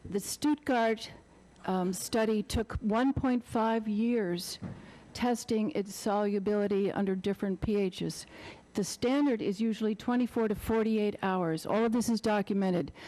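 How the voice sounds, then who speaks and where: A woman with a dark, mellow tone and a fairly high pitch talks at a moderate pace, with ordinary pitch variation and very even loudness. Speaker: public meeting commenter. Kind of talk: public comment at town hearing.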